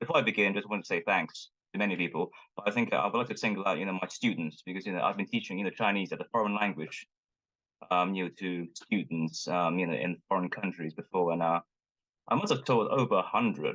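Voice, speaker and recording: Delivered at a very fast pace with ordinary pitch variation, the speech carries a Cantonese accent. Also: man, fairly low pitch for a man. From Hong Kong. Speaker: linguist and Chinese language teacher. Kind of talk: conference talk. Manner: halting, many fillers.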